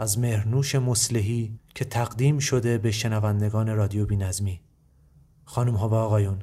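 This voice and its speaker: In a very clean recording with a silent background, a man talks at a moderate pace in a medium pitch, his tone dark and mellow, somewhat breathy, with monotone, flat intonation. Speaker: podcast host. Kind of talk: scripted narration.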